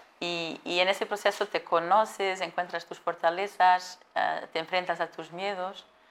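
In a Portuguese accent, a woman of medium pitch talks at a fairly slow pace in a flat, monotone way, her loudness swinging widely. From Portugal. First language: Portuguese (speaking Spanish). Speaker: supply chain manager. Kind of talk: interview.

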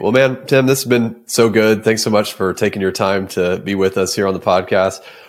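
Recorded very cleanly against a silent background, a man with a fairly low pitch and an unremarkable speaking voice talks at a fairly quick pace with fairly even intonation and hardly any pauses. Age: 30s. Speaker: podcast host. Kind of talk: casual interview chat.

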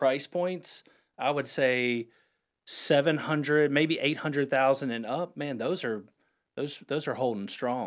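A man speaks at a fairly slow pace with medium pitch and ordinary pitch variation, in an ordinary speaking voice. The recording is very clean, with a silent background. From North Carolina, Huntersville (Lake Norman area). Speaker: real estate broker. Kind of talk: radio interview.

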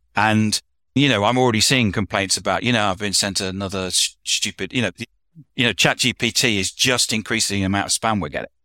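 A man with a British accent speaks at a fairly quick pace in a fairly low pitch, his bright, sharp tone and fairly even intonation captured in a dry, close recording with no echo, very clean and set against a silent background. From UK. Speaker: consultant and author. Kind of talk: casual roundtable discussion.

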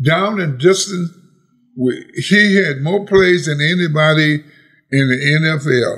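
Very slow and full of long, frequent pauses, a man talks at a fairly high pitch with ordinary pitch variation. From Lake Charles, Louisiana. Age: 80s+. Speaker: retired pro football player. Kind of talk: interview. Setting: outdoors at home.

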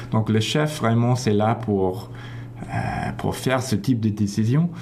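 In an English accent, a man with a fairly low pitch speaks in fairly even intonation amid noticeable background noise and audible room echo. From Toronto, Canada. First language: English (speaking French). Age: 30s. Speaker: orchestra conductor. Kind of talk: radio interview. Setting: radio studio.

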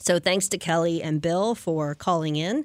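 A woman with an ordinary speaking voice, fairly low in pitch, talks at a fairly slow pace with ordinary pitch variation on a very clean recording with a silent background. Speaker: radio host. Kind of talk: casual radio interview.

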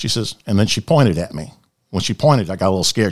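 Very rapid American-accented male speech, very cleanly recorded against total background silence. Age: 60s. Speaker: former chaplain and police officer. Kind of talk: testimony. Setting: studio.

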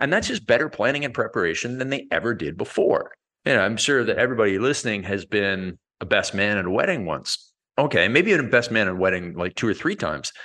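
A man with a Canadian accent, a very fast pace, a bright, sharp tone and very wide pitch swings. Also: medium pitch for a man. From Canada. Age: 40s. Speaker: fitness and business coach, author. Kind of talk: interview conversation.

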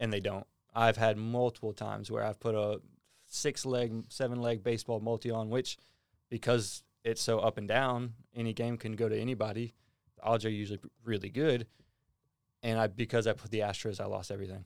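At a fairly quick pace, a man with a medium pitch speaks in a flat monotone on a very clean recording with a silent background. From US South, small-town Texas near Houston. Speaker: departing marketing employee. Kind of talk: casual chat.

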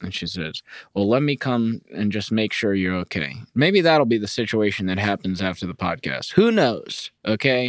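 A man uses a normal speaking voice with lively intonation in a dry, close sound with no echo. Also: fairly low pitch for a man, moderate pace. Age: 30s. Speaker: podcast host. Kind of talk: casual solo podcast chat. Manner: casual, rambling, humorous.

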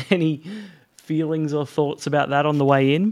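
An unremarkable speaking voice from a man, fairly high in pitch, with fairly even intonation at a moderate pace. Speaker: podcast host. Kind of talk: interview.

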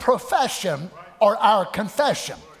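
A man talks in a Southern US accent with lively intonation. His voice is raised and projected. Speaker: pastor. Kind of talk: sermon; fiery Pentecostal-style preaching, coaxing congregation responses. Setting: church. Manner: animated call-and-response, acts out voices of discouraged believers; folksy, repetitive cadence with colloquial grammar.

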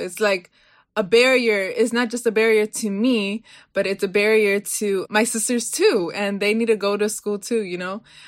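At a moderate pace, a woman with a Baltimore accent speaks with fairly even intonation. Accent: Baltimore American English. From Baltimore, US. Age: young. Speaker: student advocate. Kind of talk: interview. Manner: casual, lots of fillers.

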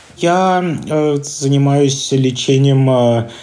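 Noticeable background noise sits behind this recording. The man's voice is medium in pitch. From Russia. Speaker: intensive care doctor. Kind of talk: voice message report; interview.

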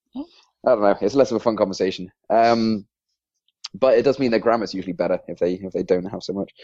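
A man's dark, mellow voice at a medium pitch, with an English accent, a fairly quick pace and ordinary pitch variation. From England. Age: 20s. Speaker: podcast co-host and PHP developer. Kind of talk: casual podcast interview.

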